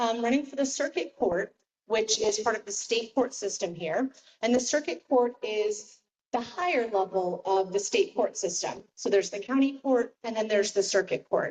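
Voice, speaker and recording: With an American accent and a normal speaking voice, a woman talks at a moderate pace, fairly high in pitch, with lively intonation. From Tampa, Florida. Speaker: judicial candidate, lawyer. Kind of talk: campaign speech at community meeting. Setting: public meeting room, also streamed on Zoom.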